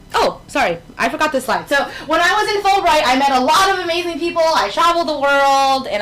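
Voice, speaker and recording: Over noticeable background noise, a woman with a New York accent speaks in very wide pitch swings. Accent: New York American English. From New York City. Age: 20s. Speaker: teacher. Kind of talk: talk with slides. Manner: casual, conversational.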